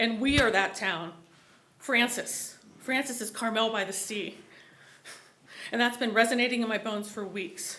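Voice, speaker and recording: Amid audible room echo, a woman with a fairly high pitch and a bright, sharp tone speaks with fairly even intonation and long, frequent pauses. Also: moderate pace. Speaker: resident giving public comment. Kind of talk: public comment at city meeting. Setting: public meeting hall. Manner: impassioned.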